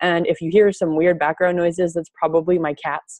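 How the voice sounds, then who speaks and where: An ordinary speaking voice moves at a moderate pace. The sound is dry with no echo, and the background is quiet. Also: woman. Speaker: nutrition coach. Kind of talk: webinar talk. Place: kitchen. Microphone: earbuds.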